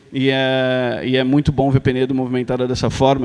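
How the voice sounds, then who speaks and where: Here a man talks at a medium pitch. His pace is fairly quick. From Brazil, São Paulo. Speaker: foundation president. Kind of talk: ceremonial speech. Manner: hesitant, many fillers.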